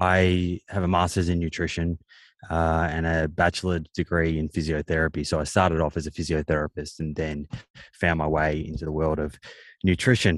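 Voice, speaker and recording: A man with an Australian accent talks at a moderate pace in a very deep, low voice. The sound is dry and close, with no echo. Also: quiet background. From Australia, Melbourne. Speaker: nutritionist and author. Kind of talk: casual interview chat.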